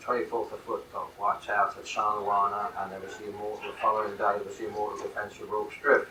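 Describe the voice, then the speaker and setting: Over noticeable background noise, a man talks at a very fast pace with hardly any pauses and big swings in loudness. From London, England. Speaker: military history author and speaker. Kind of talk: lecture. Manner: halting.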